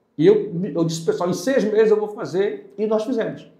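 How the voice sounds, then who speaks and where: A man's high pitch and lively intonation at a fairly quick pace, with audible room echo. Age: 60s. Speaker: lawyer and political candidate. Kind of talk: podcast interview. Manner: hesitant, self-correcting.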